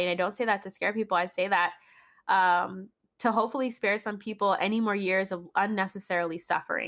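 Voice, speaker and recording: Speaking at a fairly quick pace, a woman has an ordinary speaking voice at a medium pitch with fairly even intonation, in a very clean recording with a silent background. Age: 20s. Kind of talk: podcast conversation.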